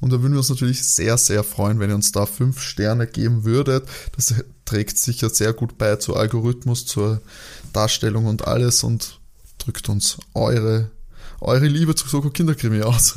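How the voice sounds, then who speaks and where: A man speaks at medium pitch with fairly even intonation. His voice is somewhat breathy. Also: moderate pace, very even loudness. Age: 20s. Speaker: podcast host. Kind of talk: casual chat.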